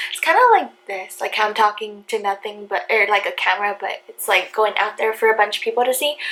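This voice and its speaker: A soft-spoken woman talks at a fairly quick pace with hardly any pauses, her fairly high pitch varying in an ordinary way. Her loudness swings widely, and noticeable background noise is present. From Hawaii. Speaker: vlogger. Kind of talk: story time vlog.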